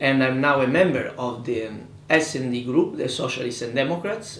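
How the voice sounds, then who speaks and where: Speaking with an Italian accent at a moderate pace, a man uses a medium pitch and ordinary pitch variation, with audible room echo and noticeable background noise. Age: 20s. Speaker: politician. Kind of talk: interview. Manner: halting.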